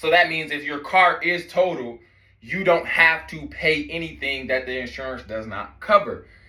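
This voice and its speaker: A bright, sharp tone at a moderate pace, with audible room echo. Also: man. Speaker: consumer law educator. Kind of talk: tutorial. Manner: casual.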